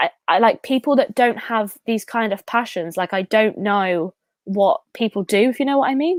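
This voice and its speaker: Lively intonation marks this woman's voice, captured dry and close with no echo in a very clean recording with a silent background. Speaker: YouTuber. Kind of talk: casual chat. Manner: fast.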